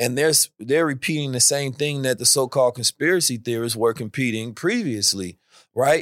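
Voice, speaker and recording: A man's unremarkable speaking voice, medium in pitch with ordinary pitch variation, at a moderate pace in a very clean recording with a silent background and a dry, close sound with no echo. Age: 30s. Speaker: thought leader and blockchain enthusiast. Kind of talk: casual chat.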